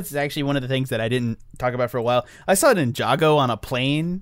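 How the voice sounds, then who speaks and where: Talking at a very fast pace, a man speaks in a fairly high pitch. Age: 20s. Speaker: movie podcast co-host. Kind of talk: casual chat.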